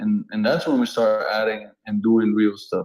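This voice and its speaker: A man's dark, mellow voice with a non-native accent, ordinary pitch variation and a moderate pace. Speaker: online show host. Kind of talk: casual chat. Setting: online audio room.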